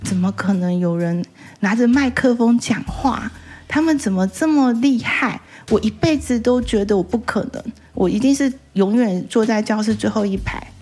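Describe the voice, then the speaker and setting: There is noticeable background noise as a woman speaks at a moderate pace in a fairly high voice with ordinary pitch variation. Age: 50s. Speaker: sex therapist and author. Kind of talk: interview. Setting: bookstore.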